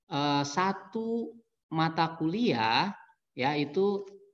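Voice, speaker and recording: Over a quiet background, the man's intonation moves in a lively way. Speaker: university lecturer and academic administrator; university lecturer. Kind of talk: online presentation. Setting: video call. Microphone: webcam.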